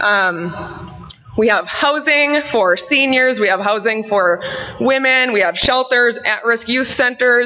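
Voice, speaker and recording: Speaking very slowly, a woman with a high-pitched voice keeps her loudness very even and her pitch variation ordinary, with noticeable background noise. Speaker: fitness program manager and presenter. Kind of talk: conference presentation. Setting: conference session with microphone.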